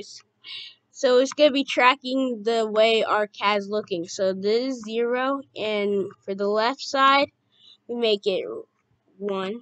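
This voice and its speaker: A woman speaks very slowly at a fairly high pitch with ordinary pitch variation. The sound is dry and close, with no echo. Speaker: youtube tutorial maker. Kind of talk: tutorial.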